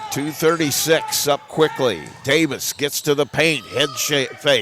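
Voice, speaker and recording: A man with a fairly high pitch talks at a fairly slow pace with fairly even intonation, over noticeable background noise. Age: 60s. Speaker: play-by-play sports announcer. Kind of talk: live commentary.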